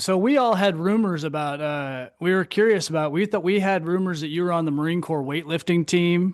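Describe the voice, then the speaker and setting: A man's plain, everyday voice, fairly high in pitch, fairly quick, with ordinary pitch variation over a quiet background. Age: 40s. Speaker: podcast host, Marine veteran. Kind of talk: casual interview chat.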